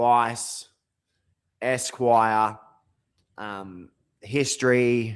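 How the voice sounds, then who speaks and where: A man speaks at a medium pitch with fairly even intonation. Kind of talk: casual talk to camera. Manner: rambling, hesitant.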